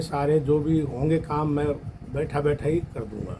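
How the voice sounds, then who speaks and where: There is noticeable background noise. A man talks at a fairly high pitch. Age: 60s. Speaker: devotee at fire ritual. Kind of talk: testimony.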